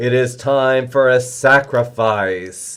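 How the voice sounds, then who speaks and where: A man uses a put-on character voice at medium pitch, talking at a very slow pace with fairly even intonation. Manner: mock-ominous, playful.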